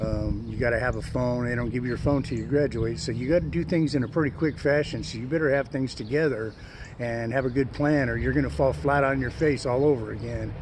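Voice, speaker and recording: Very fast speech with hardly any pauses and ordinary pitch variation, plus noticeable background noise and audible room echo. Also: man, medium pitch for a man. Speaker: co-host of recovery talk show. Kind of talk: casual chat.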